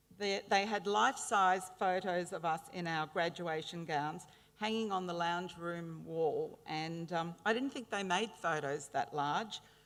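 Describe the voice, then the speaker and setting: A woman's fairly low voice with an Australian accent, fairly slow and with hardly any pauses, showing ordinary pitch variation. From Brisbane, Australia. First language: Italian. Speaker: honorary graduate speaker. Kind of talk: ceremonial speech. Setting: graduation ceremony with audience. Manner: hesitant fillers.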